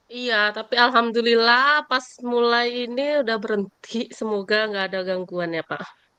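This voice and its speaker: With a Javanese accent, a woman talks at a moderate pace with hardly any pauses. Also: fairly high pitch for a woman, ordinary pitch variation. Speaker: middle school teacher. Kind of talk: coaching conversation. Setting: video call. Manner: casual, hesitant with fillers.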